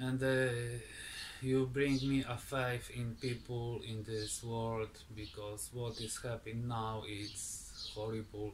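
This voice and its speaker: Speech comes at a very slow pace in a Polish accent, somewhat breathy, with monotone, flat intonation. Light background noise is present. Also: man. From Poland. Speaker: woodturning video maker. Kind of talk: casual vlog; casual vlog chat. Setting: garage workshop. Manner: halting. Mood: grateful, happy. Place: garage.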